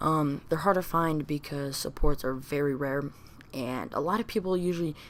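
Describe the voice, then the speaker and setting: A woman mumbles at a fairly quick pace. Her very deep, low pitch shows ordinary variation. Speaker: gaming commentator. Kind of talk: casual talk to camera. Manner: mumbling.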